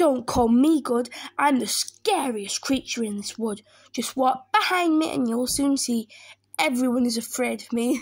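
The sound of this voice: A woman puts on a character voice, pitched high and carrying a slightly husky edge, speaking at a fairly slow pace with ordinary pitch variation.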